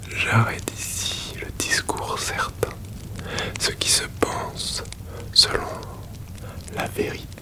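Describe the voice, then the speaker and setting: Whispered words come very slowly against noticeable background noise. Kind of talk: whispered ASMR philosophy reading to help sleep. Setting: close-mic recording with crackling fire ambience in the background. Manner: whispered, soft, slow, intimate close to the microphone.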